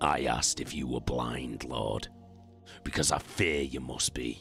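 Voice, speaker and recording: Growling in a put-on character voice, a man speaks at a fairly slow pace. Clear music plays in the background. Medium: read story.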